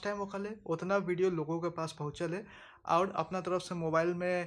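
At a fairly slow pace, a man with a high pitch speaks in a monotone, flat intonation. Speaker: food vlogger. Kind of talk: vlog outro asking viewers to like and share. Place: home room. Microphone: phone near.

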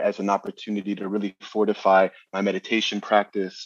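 A man with a New York accent speaks at a fairly low pitch, the sound dry and close with no echo. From New Jersey. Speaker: astrologer and numerologist. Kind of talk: interview explanation.

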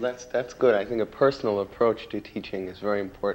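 A man's voice at a fairly quick pace, slightly mellow in tone. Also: fairly low pitch for a man, ordinary pitch variation.

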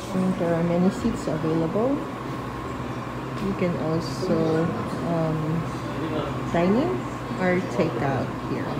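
A woman at a fairly slow pace with ordinary pitch variation and long, frequent pauses, under loud background noise. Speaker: vlogger. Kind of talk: casual vlog chat. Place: cafe. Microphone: phone near.

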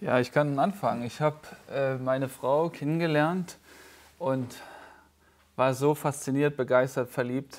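A man's fairly high-pitched voice over a quiet background. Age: 30s. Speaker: pastor. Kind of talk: casual chat. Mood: calm, personal, reflective. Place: studio. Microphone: lapel.

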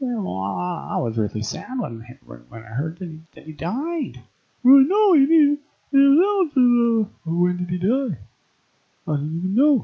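In a cartoonish character voice, a man speaks at a high pitch and a fairly slow pace. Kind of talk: comic overacting. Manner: dopey, confused.

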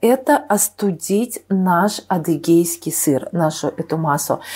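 The intonation is lively. The speaker is a woman. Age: 50s. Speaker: nutrition expert, cooking channel host. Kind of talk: cooking tutorial. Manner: hesitant, many filler sounds.

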